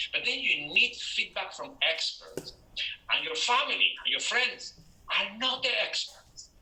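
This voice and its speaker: A man speaks with a Spanish accent. Noticeable background noise runs behind him. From northern Spain. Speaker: public speaking coach. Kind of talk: motivational talk.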